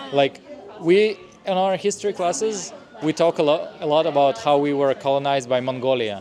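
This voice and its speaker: A man with a Russian accent talks at a fairly high pitch. His intonation is lively, and there is noticeable background noise. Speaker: stand-up comedian. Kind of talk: interview answer.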